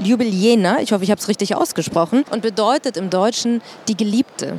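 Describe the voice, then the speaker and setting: A woman talks at a moderate pace with lively intonation and a fairly high pitch. Noticeable background noise runs beneath her. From Germany, Munich. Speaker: podcast host and moderator. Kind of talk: live panel talk. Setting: trade fair stage with audience.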